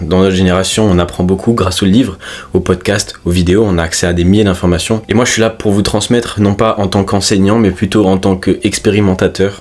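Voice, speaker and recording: A man speaks at a fairly quick pace in a fairly low voice. His intonation is monotone and flat. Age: 20s. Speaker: fitness coach and self-improvement youtuber. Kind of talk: casual vlog monologue. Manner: natural, unpolished.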